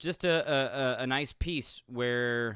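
The man's voice has a bright, sharp tone. The sound is dry with no echo, over a quiet background. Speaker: MMA commentator on a video channel. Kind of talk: casual video commentary. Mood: earnest, respectful tribute. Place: home room. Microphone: studio mic.

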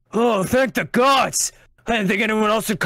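Pitched fairly high, a raspy put-on character voice moves along at a moderate pace. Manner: relieved, excited.

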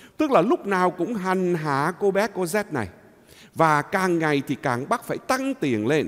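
A man with a high voice talks at a fairly slow pace, his pitch swinging very widely. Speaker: priest. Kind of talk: homily. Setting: church. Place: church.

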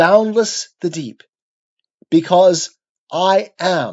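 The tone is solemn. Delivery is very slow. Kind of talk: poetry reading aloud of an epic poem. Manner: measured, solemn, stately delivery; slow, rhythmic, declamatory.

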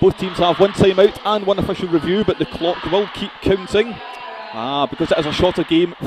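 A man's high-pitched voice at a fairly quick pace, over noticeable background noise. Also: dry sound with no echo. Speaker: sports commentator. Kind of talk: live sports commentary.

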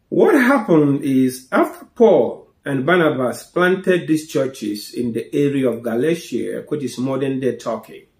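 Audible room echo surrounds a man speaking with ordinary pitch variation. The background is quiet. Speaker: preacher, Bible teacher. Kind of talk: Bible teaching talk. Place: home room.

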